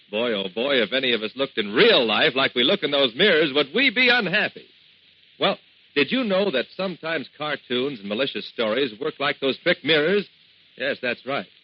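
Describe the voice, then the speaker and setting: Upbeat tone from a man with a fairly high pitch and very wide pitch swings, at a moderate pace, over noticeable background noise. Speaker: radio announcer. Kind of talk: vintage radio public service announcement. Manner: upbeat, friendly.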